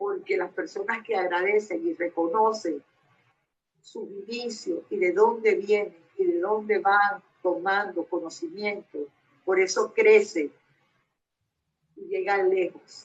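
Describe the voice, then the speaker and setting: A woman with a medium pitch speaks at a very slow pace, leaving long, frequent pauses. Her intonation is lively, and her loudness swings widely. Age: 70s. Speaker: dog groomer. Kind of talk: casual chat.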